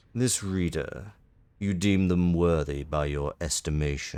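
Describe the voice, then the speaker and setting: A man uses a put-on character voice with a very deep, low pitch. He goes at a fairly slow pace with ordinary pitch variation. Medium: game stream. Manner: formal, clipped, austere.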